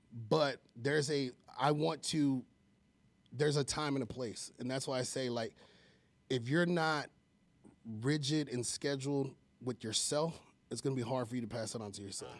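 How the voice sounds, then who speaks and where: Man at medium pitch and moderate pace, long, frequent pauses, very clean recording with a silent background. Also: ordinary pitch variation. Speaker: home loan expert. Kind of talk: casual chat. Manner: loud; passionate.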